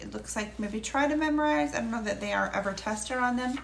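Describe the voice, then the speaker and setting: A woman's fairly high-pitched voice amid audible room echo. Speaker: homeschool curriculum reviewer. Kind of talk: product review. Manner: hesitant, many fillers.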